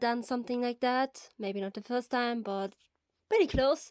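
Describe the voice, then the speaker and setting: With a non-native accent, a woman speaks with ordinary pitch variation, the sound dry and close with no echo and the recording very clean with a silent background. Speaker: fan fiction narrator. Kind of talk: reading aloud; casual chat. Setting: quiet room.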